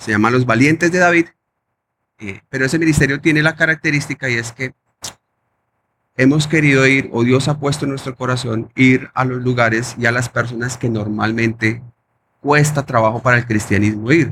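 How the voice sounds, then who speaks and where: Moderate pace with ordinary pitch variation. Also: man, medium pitch for a man. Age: 30s. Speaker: pastor. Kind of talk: testimony. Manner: halting.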